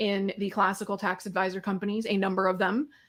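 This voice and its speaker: A woman with an American accent. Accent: somewhat American. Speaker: tax consultant. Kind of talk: webinar interview.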